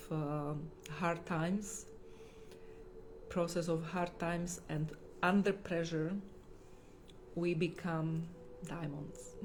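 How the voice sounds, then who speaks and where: In a room with audible echo, a woman with a non-native accent speaks very slowly in a flat monotone at a fairly low pitch. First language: not English. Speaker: holistic healer. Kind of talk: livestream talk. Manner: halting.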